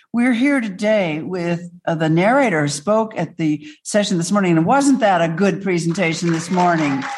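A woman's fairly low voice with lively intonation at a moderate pace, amid noticeable background noise. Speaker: organization president and moderator. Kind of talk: event moderation. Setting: room with live audience and Zoom.

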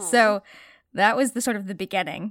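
Moderate pace on a very clean recording with a silent background and a dry, close sound with no echo. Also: woman. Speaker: voice actor. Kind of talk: casual chat.

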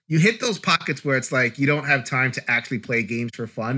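A man with a New York accent, very fast pace, ordinary pitch variation, and a bright, sharp tone. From US Northeast, Brooklyn, New York. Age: 40s. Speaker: board game YouTuber and podcaster. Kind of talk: casual chat.

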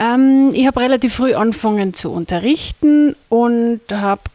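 With a dark, mellow tone and fairly high pitch, a woman speaks with ordinary pitch variation in a dry, close sound with no echo. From Austria, Carinthia (Lesachtal). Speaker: music teacher and workshop trainer. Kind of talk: interview. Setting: recorded at a music school workshop. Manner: hesitant with fillers.

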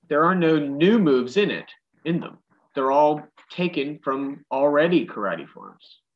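This man has an American accent and an ordinary speaking voice, pitched fairly high. His pitch varies in an ordinary way while his loudness swings a lot. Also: fairly slow pace. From Western Pennsylvania, Pittsburgh. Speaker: karate instructor. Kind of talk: casual chat.

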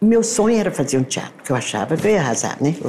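A woman's voice swings very widely in pitch against noticeable background noise. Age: 70s. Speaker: architect and costume designer. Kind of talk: casual interview. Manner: halting.

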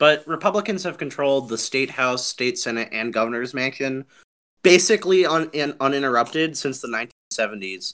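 Fairly quick and lively in intonation, a man talks at a fairly high pitch in a plain, everyday voice. The recording is very clean, with a silent background. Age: young. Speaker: campaign manager. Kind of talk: podcast interview.

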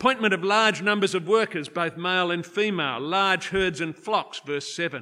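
A man's raised, projected voice, high-pitched with a bright, sharp tone, lively intonation and a moderate pace. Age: 60s. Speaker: preacher. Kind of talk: sermon.

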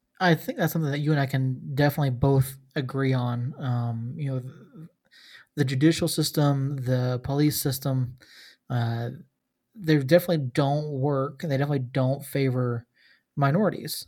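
A man's somewhat breathy, fairly high voice in an American accent, with fairly even intonation at a moderate pace, on a very clean recording with a silent background. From US South, Georgia. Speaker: podcast host. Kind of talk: casual chat.

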